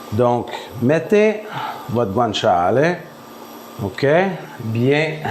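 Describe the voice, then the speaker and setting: Over noticeable background noise and audible room echo, a man speaks with a Quebec accent. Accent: Québécois French. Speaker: home cook. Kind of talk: cooking tutorial. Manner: casual, conversational.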